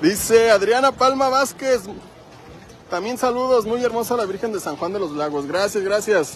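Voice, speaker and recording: Here a man with a high pitch talks at a moderate pace, his intonation lively. The sound is dry with no echo, over light background noise. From Michoacán, Mexico. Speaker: live-stream vlogger. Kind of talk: live stream walking tour chat. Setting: outdoors. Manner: animated. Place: street. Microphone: phone near.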